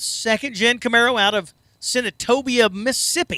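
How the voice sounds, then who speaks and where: A man's raised, projected voice at an extremely high pitch, with a slight Southern accent, ordinary pitch variation and a fairly slow pace. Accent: slight southern twang. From southern Indiana. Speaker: drag racing announcer. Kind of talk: live commentary. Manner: animated.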